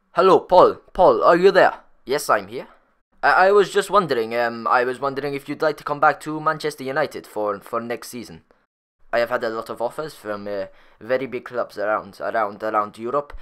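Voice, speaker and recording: Recorded very cleanly against a silent background, a man speaks at a medium pitch and a fairly quick pace. His intonation is lively, with big swings in loudness. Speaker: gaming YouTuber ranting about football. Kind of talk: angry rant. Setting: solo YouTube video, recorded voiceover. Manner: indignant, sarcastic, incredulous; emphatic, repeating the big numbers.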